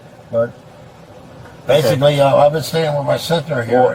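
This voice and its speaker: Fairly quick speech from a man pitched fairly high, amid noticeable background noise. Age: 60s. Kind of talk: roadside conversation with police.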